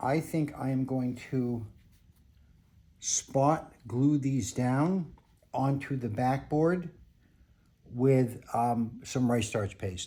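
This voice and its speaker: This man has a dark, mellow, somewhat breathy voice at medium pitch with ordinary pitch variation. He speaks at a very slow pace with long, frequent pauses. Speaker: picture framer. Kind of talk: tutorial.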